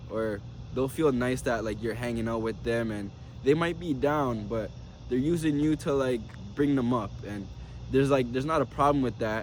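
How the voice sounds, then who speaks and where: Delivered at a moderate pace with ordinary pitch variation, the voice carries audible room echo. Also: man, medium pitch for a man. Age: 20s. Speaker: motivational vlogger. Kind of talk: unscripted video journal monologue. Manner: casual, repetitive phrasing.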